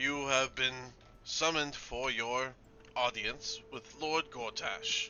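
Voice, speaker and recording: Raising and projecting his voice, a man puts on a robotic character voice at medium pitch and a fairly slow pace, with clear background noise. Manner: formal, commanding.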